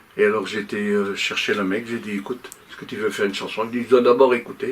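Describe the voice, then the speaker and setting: Lively intonation from a man at a fairly quick pace, with noticeable background noise. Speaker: music producer and singer. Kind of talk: talk show interview.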